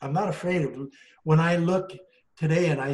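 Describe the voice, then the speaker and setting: At a fairly quick pace, a man speaks in a somewhat breathy voice with fairly even intonation. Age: 70s. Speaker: astrologer. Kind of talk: interview conversation.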